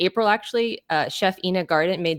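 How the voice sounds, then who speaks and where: Heard with a dry, close sound with no echo, a woman with an unremarkable speaking voice talks at a fairly quick pace, medium in pitch with ordinary pitch variation. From Texas, Austin. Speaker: author. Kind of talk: interview.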